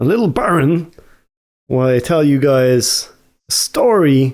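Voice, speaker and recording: A man with an Irish accent talks at a fairly slow pace and medium pitch in a very clean recording with a silent background. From Ireland. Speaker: gaming YouTuber telling stories. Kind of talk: casual storytelling. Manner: casual, hesitant with fillers.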